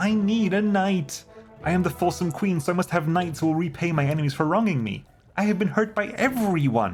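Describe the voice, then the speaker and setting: In a whiny, put-on character voice at a middle pitch, the speaker goes at a fairly quick pace with clear music in the background. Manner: petulant, self-pitying.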